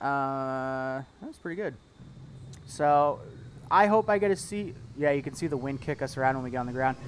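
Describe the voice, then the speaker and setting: An upbeat man with an American accent, fairly high in pitch, ordinary pitch variation, moderate pace, long, frequent pauses. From Seattle, US Pacific Northwest. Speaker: flight sim live streamer. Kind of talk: live stream chat. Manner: casual, upbeat.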